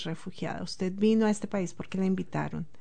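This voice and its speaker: Fairly even intonation from a woman in a dark, mellow tone. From Colombia, Bogotá. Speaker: immigrant sharing life story. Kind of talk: interview.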